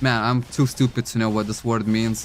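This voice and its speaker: A man with a non-native accent. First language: not English. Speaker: gaming streamer. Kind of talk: live stream gameplay chat.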